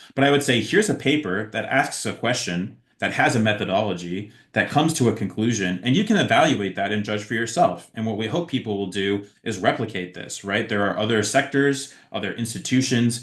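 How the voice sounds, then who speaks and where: A man's medium-pitched voice at a fairly quick pace, with hardly any pauses, ordinary pitch variation and a quiet background. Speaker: researcher and featured workshop speaker. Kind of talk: online lecture. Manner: fast; many fillers, uh and um.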